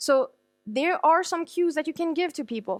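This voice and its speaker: Recorded very cleanly against a silent background, the voice has a French accent and lively intonation, with a dry, close sound and no echo. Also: woman. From France. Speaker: conference speaker, digital marketer. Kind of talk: conference talk. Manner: fast.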